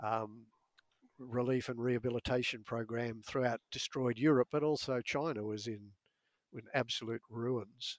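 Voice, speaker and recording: In a dry, close sound with no echo, a man with an Australian accent speaks at a medium pitch and a fairly slow pace, his intonation fairly even. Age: old. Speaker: author and meditation teacher. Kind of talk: casual chat.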